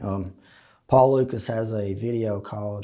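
A man with an Appalachian accent, medium in pitch, dark and mellow in tone, in a monotone, flat delivery against a quiet background. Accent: Appalachian Southern US. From eastern Kentucky (Leslie County, Appalachia); Kentucky. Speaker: interviewee sharing life story; interviewee. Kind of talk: interview testimony. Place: studio. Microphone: lapel.

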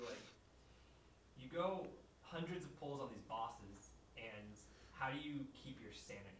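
Over noticeable background noise, a man speaks at a fairly high pitch with lively intonation. His pauses are long and frequent. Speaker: documentary interviewer. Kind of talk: interview questions. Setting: filmed interview with boom mic.

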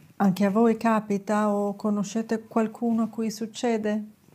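The pace is fairly slow. The voice belongs to a woman. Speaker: lifestyle vlogger. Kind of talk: advice talk to camera. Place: studio. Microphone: lapel.

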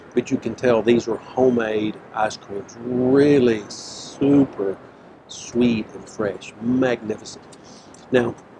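A man speaks with fairly even intonation. Noticeable background noise runs underneath. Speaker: food show host. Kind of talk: food review commentary. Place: street. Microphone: lapel.

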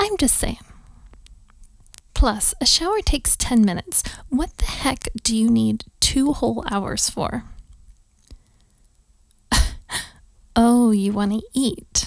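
Using a put-on character voice, a woman speaks slowly at a fairly high pitch, with vocal fry, lively intonation and long, frequent pauses.

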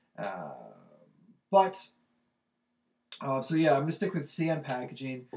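At a fairly slow pace, a man with medium pitch and a slightly mellow tone speaks with big pitch swings.

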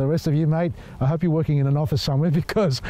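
The voice has a dark, mellow tone and fairly even intonation, moving at a very fast pace with a dry sound and no echo. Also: man. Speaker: presenter. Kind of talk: casual vlog chat. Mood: jokey, laughing. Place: open country.

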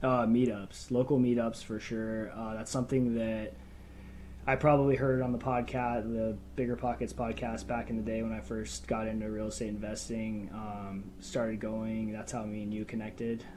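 Someone with an American accent speaks at a moderate pace, intonation fairly even. Noticeable background noise runs underneath. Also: man. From Phoenix, Arizona; Arizona. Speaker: realtor and real estate investor; podcast guest. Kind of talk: casual interview chat. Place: home room. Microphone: earbuds.

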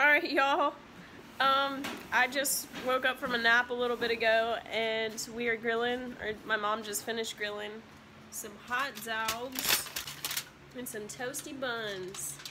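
Over noticeable background noise, a woman with a high pitch speaks at a fairly slow pace with fairly even intonation. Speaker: vlogger. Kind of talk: casual vlog chat. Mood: relaxed, cheerful. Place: home room. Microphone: phone near.

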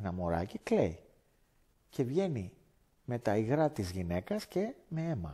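A man speaks in a dark, mellow, somewhat breathy tone with very wide pitch swings. The background is quiet. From Greece, Athens area (Lavrio); Greece. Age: 50s. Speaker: former martial arts teacher. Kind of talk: testimony. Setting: indoors by a fireplace. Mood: earnest, animated storytelling. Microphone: headset.

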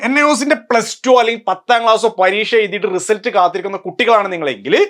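His loudness very even, a man speaks at a high pitch with ordinary pitch variation. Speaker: online tutor for open schooling courses. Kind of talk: educational explainer video. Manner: informal.

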